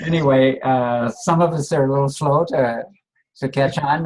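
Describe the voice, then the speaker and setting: Somewhat breathy, a man's voice sits at a fairly high pitch. He keeps a moderate pace and fairly even intonation. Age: 70s. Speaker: network marketing consultant, interviewer. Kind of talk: interview.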